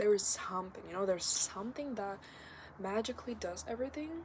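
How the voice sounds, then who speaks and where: A somewhat breathy woman's voice at medium pitch, moderate pace and ordinary pitch variation. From Kazakhstan. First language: not English (English is third language). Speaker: vlogger. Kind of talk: casual vlog monologue. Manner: halting, many filler words.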